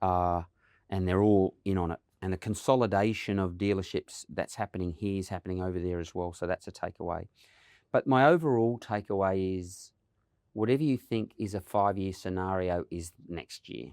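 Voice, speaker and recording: Here a man with an Australian accent speaks at a very deep, low pitch, a moderate pace and ordinary pitch variation. The recording is very clean with a silent background and a dry, close sound with no echo. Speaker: automotive industry association CEO. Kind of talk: podcast interview.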